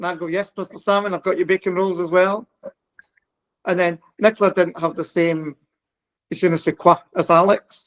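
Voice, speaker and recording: A man with a Glasgow accent, high-pitched for a man, in a flat monotone at a moderate pace, with long, frequent pauses and a dry, close sound free of echo. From Scotland, Glasgow. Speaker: psychic medium. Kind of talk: casual chat.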